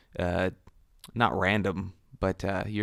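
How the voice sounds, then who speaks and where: A man speaks with monotone, flat intonation. The sound is dry and close with no echo, in a very clean recording with a silent background. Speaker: gaming youtuber. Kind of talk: casual voice-over commentary. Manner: hesitant, many fillers.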